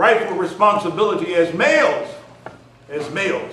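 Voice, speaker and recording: A man speaks in an animated tone. Noticeable background noise and audible room echo surround him. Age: 60s. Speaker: community leader and speaker. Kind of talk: speech. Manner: animated, repetitive emphasis.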